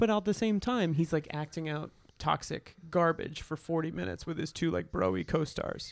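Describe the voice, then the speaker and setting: Moderate pace from a man, in a very clean recording with a silent background. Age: 30s. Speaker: movie podcaster. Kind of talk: casual chat.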